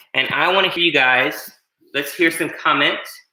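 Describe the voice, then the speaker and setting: There is audible room echo around a man speaking. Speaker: martial arts instructor. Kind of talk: online fitness class instruction. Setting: at home, livestream. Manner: fast.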